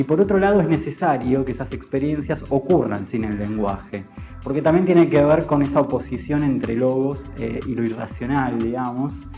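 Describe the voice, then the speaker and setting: Lively intonation at a moderate pace over music in the background. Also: man, medium pitch for a man. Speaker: poet and writer. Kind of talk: interview answer.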